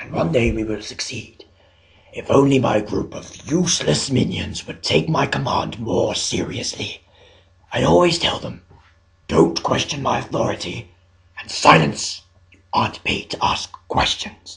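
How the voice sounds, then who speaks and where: At a moderate pace, a man uses a put-on character voice at a medium pitch. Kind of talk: dub audition character monologues.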